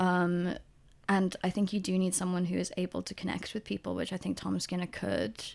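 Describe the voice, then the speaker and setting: On a very clean recording with a silent background, a woman talks at a fairly quick pace in a Welsh accent. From South Wales. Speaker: podcast co-host. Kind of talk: casual chat. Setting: recording away from usual studio, indoors.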